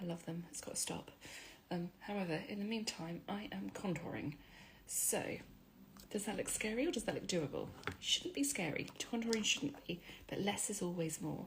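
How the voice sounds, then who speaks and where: A woman talks quietly at a moderate pace with a medium pitch. Her intonation is lively. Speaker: beauty influencer. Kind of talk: makeup tutorial. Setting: at home. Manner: chatty.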